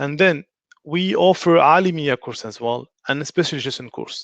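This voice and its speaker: A man with a French accent and fairly even intonation, dry and close with no echo. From France. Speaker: religious studies teacher. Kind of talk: online lecture. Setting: online live stream. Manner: halting.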